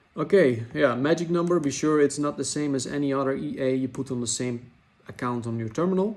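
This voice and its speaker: At a fairly quick pace, a man with a non-native accent speaks in a fairly high pitch. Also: ordinary pitch variation. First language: not English. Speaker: trading software developer. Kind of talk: tutorial. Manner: hesitant, with fillers; casual, chatty.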